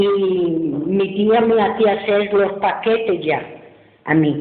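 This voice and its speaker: This woman talks at a very slow pace, her voice at a medium pitch with ordinary pitch variation. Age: 80s+. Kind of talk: interview answer.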